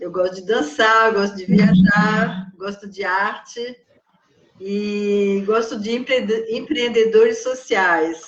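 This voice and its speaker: A woman talks at a very slow pace with ordinary pitch variation. Her loudness swings widely. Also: medium pitch for a woman. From France. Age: 60s. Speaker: psychologist and writer. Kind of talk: interview.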